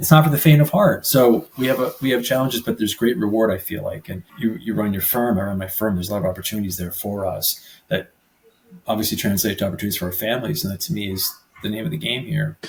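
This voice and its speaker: A man with an American accent talks very fast at a fairly low pitch, somewhat breathy. His intonation is lively. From New Jersey. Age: 40s. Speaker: personal injury lawyer. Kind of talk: podcast interview. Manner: casual, halting with repeated words.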